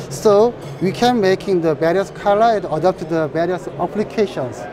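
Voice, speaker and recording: Over noticeable background noise, a man with a high pitch and a Korean accent speaks with lively intonation. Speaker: company representative at trade show. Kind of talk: trade show interview. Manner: halting. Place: hall. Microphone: lapel.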